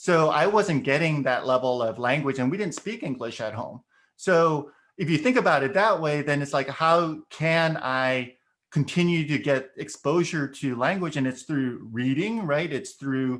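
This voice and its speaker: Against a quiet background, a man with a Korean accent talks at a moderate pace in a fairly high pitch with ordinary pitch variation. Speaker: education consultant. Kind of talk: podcast discussion.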